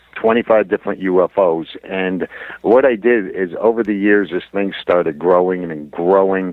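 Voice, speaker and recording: A man with a very deep, low voice speaks with fairly even intonation over noticeable background noise. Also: moderate pace. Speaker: UFO researcher. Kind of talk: interview answer. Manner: hesitant, conversational.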